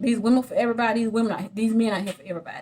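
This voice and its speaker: A woman speaks with a somewhat breathy, fairly high-pitched voice. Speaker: vlogger. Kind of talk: casual monologue to camera. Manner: halting, repeats words.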